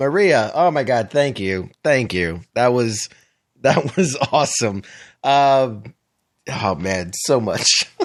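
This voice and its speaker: Using a strained, put-on character voice at a medium pitch, a man speaks at a fairly slow pace. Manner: holding back laughter, strained.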